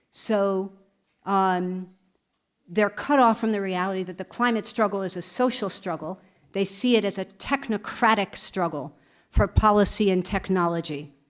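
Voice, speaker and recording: Speaking at a moderate pace with an American accent, a woman has an ordinary speaking voice at a medium pitch with ordinary pitch variation, on a very clean recording with a silent background. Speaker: museum director. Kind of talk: conference Q&A answer. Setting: conference with audience.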